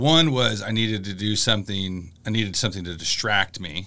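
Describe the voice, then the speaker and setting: At a moderate pace, a man speaks in a fairly low voice with a bright, sharp tone. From US Midwest (Illinois). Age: 40s. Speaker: college professor. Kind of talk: interview. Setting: studio. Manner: halting, many fillers.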